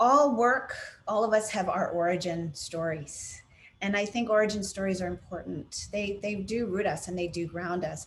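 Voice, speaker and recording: A woman with an American accent and a plain, everyday voice, medium in pitch, at a moderate pace with ordinary pitch variation. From United States. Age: 50s. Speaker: consultant on racial equity. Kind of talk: webinar conversation.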